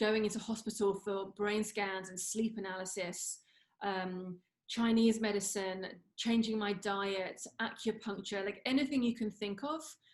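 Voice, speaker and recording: The speaker has a London accent and a fairly slow pace. The intonation stays fairly even. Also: woman, medium pitch for a woman. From London, England. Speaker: former radio entertainment reporter, CFS recovery coach. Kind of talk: interview, personal recovery story.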